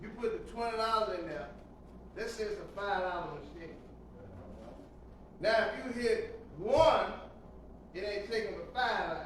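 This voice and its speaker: An animated man with a high pitch and ordinary pitch variation, at a moderate pace with long, frequent pauses and big swings in loudness, amid noticeable background noise and audible room echo. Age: 60s. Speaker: pastor. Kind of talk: sermon.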